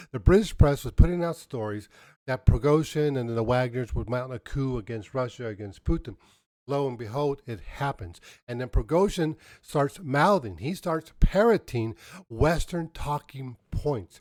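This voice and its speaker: On a very clean recording with a silent background, a man at medium pitch sounds animated, with lively intonation and big swings in loudness. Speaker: political commentator. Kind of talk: political commentary. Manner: fast.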